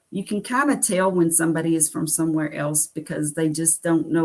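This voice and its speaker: With a Southern US accent, a woman talks at a moderate pace in a fairly low pitch and with fairly even intonation. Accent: acquired Southern US. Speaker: carnivore diet vlogger. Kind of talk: live stream chat reading viewer comments. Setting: solo livestream.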